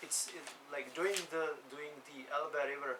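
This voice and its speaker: Speaking with a Czech accent, a man uses ordinary pitch variation. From Czech Republic. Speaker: sea kayak coach and adventurer. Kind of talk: interview. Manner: casual, hesitant with fillers.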